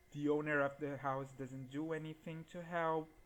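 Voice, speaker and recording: A man speaks in a Portuguese accent. His pitch sits fairly high. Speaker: gaming YouTuber. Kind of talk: gameplay commentary.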